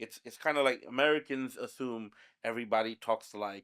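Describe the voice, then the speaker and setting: A man's bright, sharp voice at a moderate pace, fairly even in intonation, on a very clean recording with a silent background. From Bangladeshi family, USA and Bangladesh upbringing. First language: Bangla (Sylheti dialect). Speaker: podcast guest. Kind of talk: casual chat.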